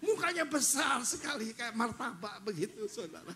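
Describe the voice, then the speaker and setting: At a moderate pace, a man talks in a high pitch with very wide pitch swings over noticeable background noise. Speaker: pastor. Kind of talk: sermon. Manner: animated.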